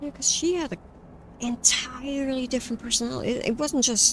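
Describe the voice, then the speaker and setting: Noticeable background noise fills the clip. The pace is moderate. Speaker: game streamer. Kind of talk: casual gaming stream commentary. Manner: speaking louder than normal.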